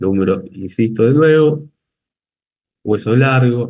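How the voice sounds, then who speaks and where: A man's speech unfolds at a fairly slow pace, its pitch varying in an ordinary way. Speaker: anatomy lecturer. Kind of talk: lecture.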